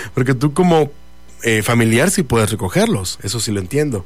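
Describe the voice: Speaking at a moderate pace, a man with a medium pitch makes big pitch swings.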